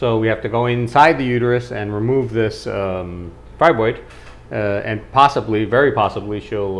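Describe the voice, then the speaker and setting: He has an ordinary speaking voice, with a medium pitch for a man. The man talks at a fairly quick pace with ordinary pitch variation. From Costa Rica, born in New York. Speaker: obstetrician and gynecologist. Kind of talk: interview answer.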